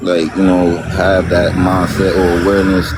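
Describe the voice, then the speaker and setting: A man's very deep, low voice at a moderate pace over noticeable background noise. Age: 20s. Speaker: live stream participant. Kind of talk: casual chat. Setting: live stream. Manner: halting, many fillers.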